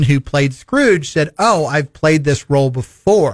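With lively intonation, an ordinary speaking voice keeps a moderate pace. The background is silent in this very clean recording. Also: man. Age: 40s. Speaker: radio host. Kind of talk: radio interview. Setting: studio.

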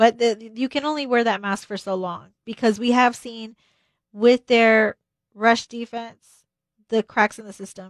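With an American accent and a normal speaking voice, a woman speaks at a fairly high pitch and a fairly slow pace, with fairly even intonation and big swings in loudness, in a dry, close sound with no echo on a very clean recording with a silent background. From Texas. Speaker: sports broadcaster. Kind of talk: sports radio talk show. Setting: radio studio.

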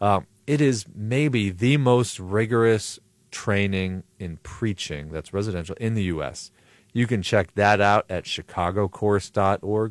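A man speaks at a fairly slow pace with a fairly low pitch and ordinary pitch variation, in a plain, everyday voice with an American accent, recorded very cleanly with a dry, close sound, no echo and a silent background. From Buffalo, New York. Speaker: pastor and preaching trainer. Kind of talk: radio interview. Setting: studio.

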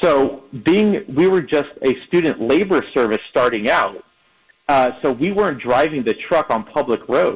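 A normal speaking voice from a man, pitched fairly high, with very even loudness. He talks at a fairly slow pace with lively intonation. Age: 30s. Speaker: moving company co-founder. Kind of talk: radio interview.

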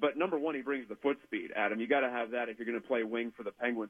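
In a normal speaking voice, a man with an American accent talks at a medium pitch with ordinary pitch variation. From West Virginia (Weirton). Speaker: hockey writer. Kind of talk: sports talk interview.

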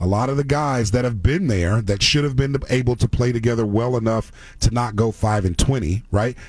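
Speaking fairly quickly with ordinary pitch variation, a man sounds somewhat breathy. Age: 40s. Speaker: sports radio host. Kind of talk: sports talk radio. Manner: casual, laughing.

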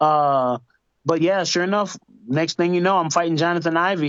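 A man's high voice in an American accent, at a fairly quick pace. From Georgia, US South. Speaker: MMA fighter. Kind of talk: interview.

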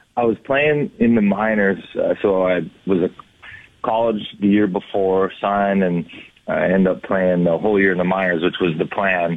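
A man with an American accent speaks at a moderate pace in a fairly low voice, with ordinary pitch movement and very even loudness. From Minnesota. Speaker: former hockey player and color analyst. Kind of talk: radio interview. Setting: phone call.

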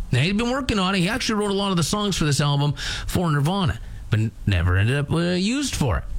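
Speaking at a very fast pace with a Canadian accent, a man uses a high pitch with very wide pitch swings and very even loudness, while audible room echo and noticeable background noise fill the recording. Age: 40s. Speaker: rock radio morning host. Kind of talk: casual radio chat. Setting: radio studio.

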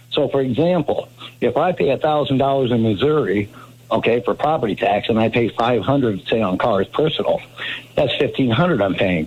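At a moderate pace, a man speaks in an unremarkable speaking voice with lively intonation. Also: medium pitch for a man. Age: 60s. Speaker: caller. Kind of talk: call-in.

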